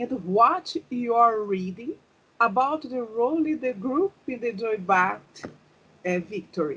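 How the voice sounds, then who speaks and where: A woman with a Brazilian accent talks at a fairly slow pace and a fairly high pitch, with very wide pitch swings. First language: Portuguese. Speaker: interviewer. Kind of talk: interview. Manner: halting.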